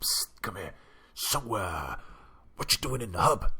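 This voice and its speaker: A man puts on a raspy character voice. His pitch sits in the medium range. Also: moderate pace. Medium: game stream. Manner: furtive, wheedling.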